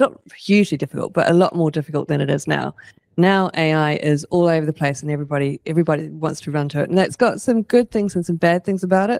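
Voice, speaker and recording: A woman's fairly low-pitched voice with a New Zealand accent. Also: dry sound with no echo. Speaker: industry forum chair; panelist. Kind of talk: panel discussion. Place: meeting room.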